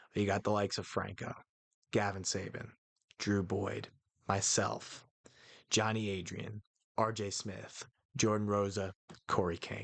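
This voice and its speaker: The speech comes at a fairly slow pace in a flat monotone, broken by long, frequent pauses. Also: man. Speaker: wrestling awards host. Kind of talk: awards ceremony announcing. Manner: casual, halting.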